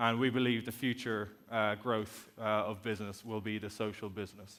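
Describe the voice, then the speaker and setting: A man speaks with an Irish accent in monotone, flat intonation. His pitch is fairly low. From Ireland. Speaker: company executive, conference speaker. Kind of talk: conference talk.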